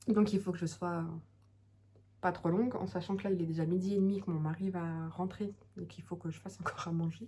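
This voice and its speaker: A woman speaks at a fairly quick pace in a somewhat breathy voice. Long, frequent pauses break up her speech. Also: fairly even intonation. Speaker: knitting podcaster, mother. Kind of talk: casual monologue podcast. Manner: hesitant, many fillers.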